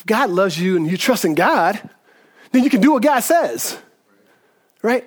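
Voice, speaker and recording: A man speaks in an animated tone at a fairly quick pace. His voice is high and swings very widely in pitch. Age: 40s. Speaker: pastor. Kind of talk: sermon. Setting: church.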